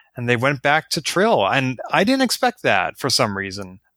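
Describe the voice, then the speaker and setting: His tone bright and sharp, a man speaks with a fairly high pitch. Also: dry, close sound with no echo, very clean recording, silent background. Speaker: podcast co-host. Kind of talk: casual chat, podcast discussion.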